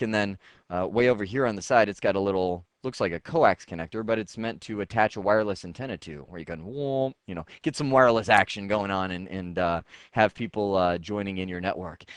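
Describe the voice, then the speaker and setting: A man with a fairly low pitch at a fairly quick pace, ordinary pitch variation and big swings in loudness, in a dry, close sound with no echo and a quiet background. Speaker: IT instructor. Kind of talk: tutorial. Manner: fast.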